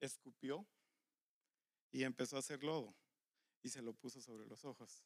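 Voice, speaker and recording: At a moderate pace and medium pitch, a man speaks with long, frequent pauses, ordinary pitch variation and big swings in loudness, the sound dry and close with no echo. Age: 50s. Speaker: pastor. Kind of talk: sermon.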